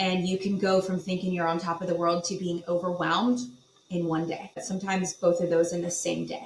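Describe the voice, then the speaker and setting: A woman speaks at a fairly quick pace in a monotone, flat intonation. Noticeable background noise is present. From Virginia Beach, Virginia. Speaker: property management executive. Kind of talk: podcast interview.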